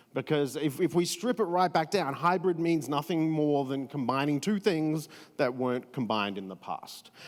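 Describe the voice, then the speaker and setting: With an Australian accent, a man talks at a moderate pace in a fairly high pitch with lively intonation, on a very clean recording with a silent background. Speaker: event experience strategist. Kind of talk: panel discussion.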